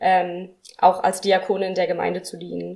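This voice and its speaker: Medium in pitch, a woman's voice moves at a moderate pace. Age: 20s. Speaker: deacon. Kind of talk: interview.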